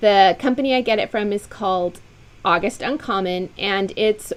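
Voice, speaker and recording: A woman talks at a moderate pace in a medium pitch, with an animated tone and lively intonation. Noticeable background noise sits behind her. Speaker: quilt designer and sew-along host. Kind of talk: casual live-stream chat to viewers.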